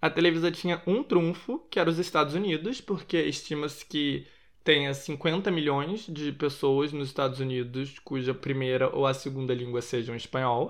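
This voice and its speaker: Speaking at a moderate pace with hardly any pauses, a man uses a plain, everyday voice, fairly high in pitch with ordinary pitch variation, over a quiet background. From Rio de Janeiro, Brazil. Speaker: podcast host. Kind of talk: casual pop culture commentary.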